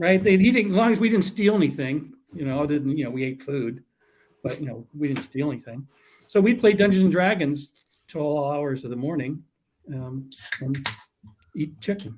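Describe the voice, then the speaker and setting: A man with an American accent speaks at a moderate pace in a fairly high, somewhat breathy voice, with lively intonation and long, frequent pauses. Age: 60s. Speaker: tabletop gaming podcast guest. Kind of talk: casual chat.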